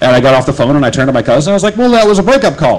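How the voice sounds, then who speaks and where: With an American accent, a man talks in a lively, varied intonation against noticeable background noise. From Nebraska, US Midwest. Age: 20s. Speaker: storyteller. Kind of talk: spoken word storytelling. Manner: casual, hesitant with fillers.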